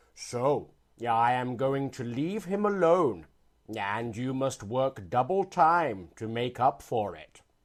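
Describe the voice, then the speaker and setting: A man's put-on character voice at medium pitch and a fairly slow pace. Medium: read story.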